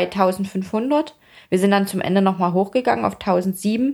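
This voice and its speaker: At a fairly slow pace, a woman uses lively intonation in an unremarkable speaking voice of medium pitch. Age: 30s. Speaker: fitness athlete and influencer. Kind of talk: casual interview.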